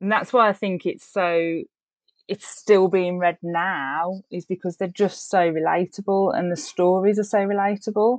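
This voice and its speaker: With an English accent, a woman talks at a moderate pace and medium pitch, her intonation fairly even, the sound dry and close with no echo. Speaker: book club reviewer. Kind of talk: casual chat.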